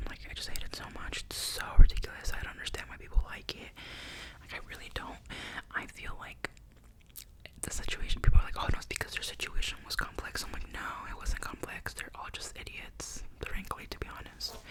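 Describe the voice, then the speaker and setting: A woman whispers at a fairly quick pace, her loudness swinging widely. Noticeable background noise can be heard. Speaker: ASMR content creator. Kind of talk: ASMR ramble, casual talk to camera. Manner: whispered, soft-spoken.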